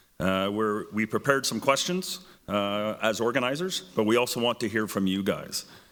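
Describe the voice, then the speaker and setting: A man with a Canadian accent talks at a fairly quick clip in a fairly low voice. The recording is very clean, with a silent background. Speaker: debate moderator. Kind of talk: public event moderation.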